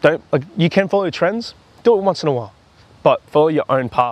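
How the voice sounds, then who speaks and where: In an Australian accent, a man talks at a moderate pace with lively intonation, the sound dry and close with no echo. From Australia, Campbelltown (Sydney). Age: 20s. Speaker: footy content creator. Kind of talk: casual chat. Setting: outdoors.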